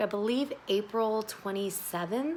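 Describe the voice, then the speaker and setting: This woman talks at a fairly slow pace, her pitch fairly high with ordinary pitch variation. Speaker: YouTuber, rave fashion vlogger. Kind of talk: casual vlog, unboxing. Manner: animated.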